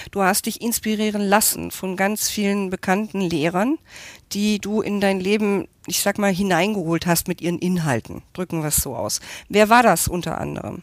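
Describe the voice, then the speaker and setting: On a very clean recording with a silent background, a woman with a plain, everyday voice talks at medium pitch and a moderate pace with ordinary pitch variation. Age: 50s. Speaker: interviewer. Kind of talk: interview.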